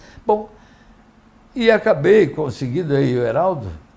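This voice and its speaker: Somewhat breathy delivery with very wide pitch swings. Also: man. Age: 70s. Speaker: mayoral candidate, former mayor. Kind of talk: live interview.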